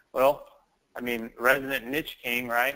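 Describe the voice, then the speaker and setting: This man speaks at a fairly slow pace. His tone is bright and sharp. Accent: Southern US. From US South. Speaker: online business trainer. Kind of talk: live webinar sales pitch. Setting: live online training call.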